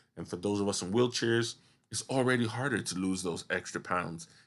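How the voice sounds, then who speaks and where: A man speaks in an unremarkable speaking voice, pitched fairly low with ordinary pitch variation. The background is quiet. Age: 30s. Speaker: podcast host, wheelchair user. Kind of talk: solo podcast monologue.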